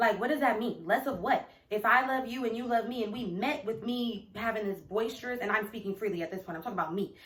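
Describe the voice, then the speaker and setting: A woman speaks at a very fast pace with hardly any pauses, her fairly high pitch showing ordinary variation, over noticeable background noise. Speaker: video blogger. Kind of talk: casual chat. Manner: loud; animated.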